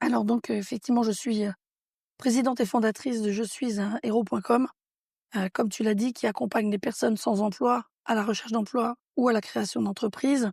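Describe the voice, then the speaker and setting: Speaking at a fairly quick pace, a woman with a fairly high, somewhat breathy voice keeps her loudness very even, recorded with a dry, close sound and no echo. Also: fairly even intonation, very clean recording, silent background. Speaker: entrepreneur. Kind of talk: interview.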